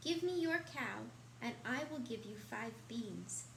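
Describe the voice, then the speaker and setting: Clear background noise sits behind a put-on character voice. The pace is fairly slow. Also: woman. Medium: read story.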